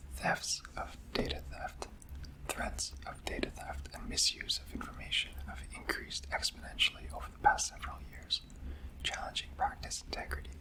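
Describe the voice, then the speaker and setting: Noticeable background noise is present. Someone whispers through it. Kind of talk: whispered ASMR reading of a professional handbook. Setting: close-up microphone. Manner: whispered, soft-spoken.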